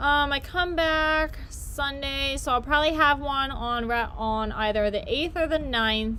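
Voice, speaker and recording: Raised and projected, a woman's high-pitched voice moves at a fairly slow pace with hardly any pauses and ordinary pitch variation, with audible room echo around it. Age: 20s. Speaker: YouTuber. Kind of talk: casual live-stream chat while baking.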